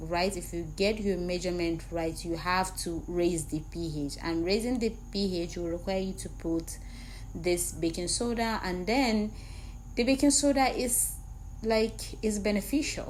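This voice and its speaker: With a non-native accent, a woman talks at a fairly slow pace and medium pitch, with audible room echo. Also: ordinary pitch variation. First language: not English. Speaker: skincare product maker and trainer. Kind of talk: tutorial. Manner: casual, repetitive.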